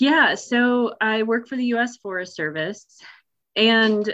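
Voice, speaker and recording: A woman has a plain, everyday voice with an American accent. It is fairly high in pitch, with ordinary pitch variation. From Nebraska, US Midwest. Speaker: forest ranger, wilderness and trails specialist. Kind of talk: casual interview.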